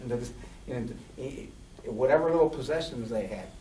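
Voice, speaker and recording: Amid noticeable background noise and audible room echo, the speaker talks at a fairly quick pace with fairly even intonation. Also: man. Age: 60s. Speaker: transgender activist, panelist. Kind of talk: panel discussion. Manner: halting, many repetitions.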